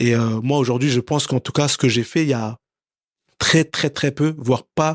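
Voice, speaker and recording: The background is quiet. The speaker moves at a moderate pace with fairly even intonation. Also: man, medium pitch for a man, dry, close sound with no echo. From France, Paris. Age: 30s. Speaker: professional boxer. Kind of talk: interview. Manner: hesitant, many fillers and repetitions.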